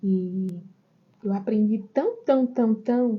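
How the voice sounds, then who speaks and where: Soft-spoken and somewhat breathy, a woman speaks very slowly at a medium pitch. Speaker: online course teacher. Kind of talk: live stream lesson. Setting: outdoors in backyard. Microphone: quiet sound.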